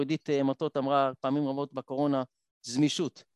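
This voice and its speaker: The man's voice sits at a fairly high pitch. The sound is dry and close, with no echo. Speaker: blind triathlete and motivational speaker. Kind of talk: panel discussion.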